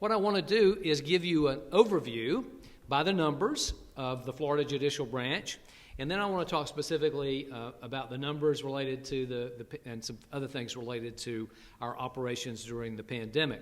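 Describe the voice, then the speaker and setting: Fairly quick and fairly high-pitched, a man talks with ordinary pitch variation and big swings in loudness. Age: 60s. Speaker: state supreme court chief justice. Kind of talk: luncheon speech. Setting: podium at club meeting. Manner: halting with many fillers.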